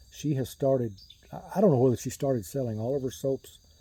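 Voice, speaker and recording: Relaxed and somewhat breathy, a man speaks with a dark, mellow tone at a fairly quick pace. His pitch is medium, with ordinary variation. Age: 60s. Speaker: shaving gear YouTuber. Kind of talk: casual chat. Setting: outdoors on a porch.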